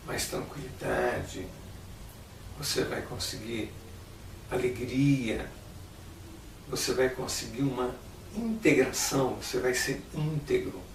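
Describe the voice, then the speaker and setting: Pausing long and often, a man speaks at a very slow pace amid audible room echo and noticeable background noise. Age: 60s. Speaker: meditation teacher. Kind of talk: instructional talk.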